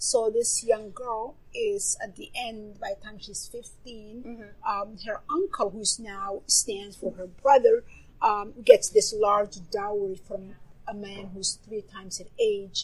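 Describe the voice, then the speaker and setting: Her voice is somewhat breathy, with big swings in loudness. The woman speaks at a fairly slow pace with fairly even intonation. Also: fairly high pitch for a woman. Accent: Somali. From Somalia. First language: Somali. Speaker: novelist. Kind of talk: interview. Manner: halting.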